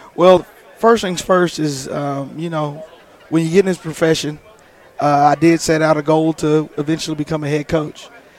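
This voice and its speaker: Over crowd noise in the background, a man talks at a moderate pace. His fairly high voice keeps a monotone, flat intonation. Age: 30s. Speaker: high school football coach. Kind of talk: interview. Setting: convention lounge.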